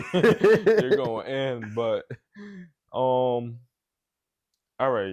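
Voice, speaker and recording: This man talks at a medium pitch, his voice making very wide pitch swings. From New York City, the Bronx, family from Guinea. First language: not English (Guinea). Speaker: event promoter and entrepreneur. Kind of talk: podcast interview. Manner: casual, slangy.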